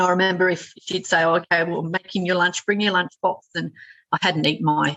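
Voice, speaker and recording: A woman speaks with a fairly low pitch and vocal fry. Her pace is moderate. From France. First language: French. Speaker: playwright and author. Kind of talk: podcast interview answer.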